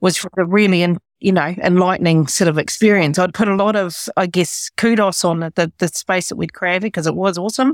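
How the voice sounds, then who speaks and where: On a very clean recording with a silent background and a dry, close sound with no echo, a woman speaks at a fairly quick pace and medium pitch with ordinary pitch variation. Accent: New Zealand. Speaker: business leader and educator. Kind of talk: interview conversation. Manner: halting.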